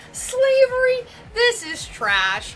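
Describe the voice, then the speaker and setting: A woman's raised, projected voice in an American accent, with very wide pitch swings and noticeable background noise. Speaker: vlogger and larper. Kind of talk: casual vlog monologue. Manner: hesitant, many fillers (um, like).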